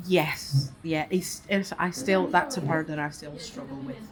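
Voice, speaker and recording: Through noticeable background noise, a woman with a very deep, low voice speaks at a moderate pace with ordinary pitch variation. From Mexico. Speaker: Mexican immigrant interviewee. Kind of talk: interview.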